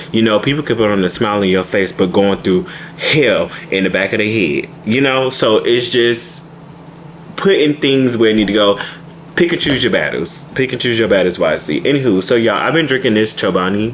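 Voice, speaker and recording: A man talks fairly quickly at medium pitch, with lively intonation and very even loudness, over noticeable background noise. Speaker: vlogger. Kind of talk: casual vlog talk to camera. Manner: fast.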